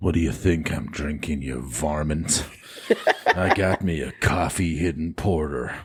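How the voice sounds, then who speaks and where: A man puts on a playful character voice, pitched very deep and low, speaking at a moderate pace. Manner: playful, gruff.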